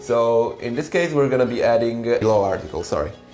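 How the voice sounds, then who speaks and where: A man speaks with an Italian accent, and audible room echo surrounds his voice. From Italy. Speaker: language teacher. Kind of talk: tutorial. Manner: hesitant, many fillers.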